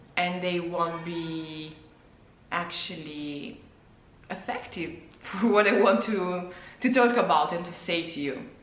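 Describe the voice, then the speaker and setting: A woman with an Italian accent talks at a very slow pace and fairly low pitch, with ordinary pitch variation, big swings in loudness and long, frequent pauses. The recording has audible room echo and noticeable background noise. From Italy. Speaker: illustrator and former physicist, vlogger. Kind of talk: personal vlog monologue. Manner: halting, with repetitions and fillers.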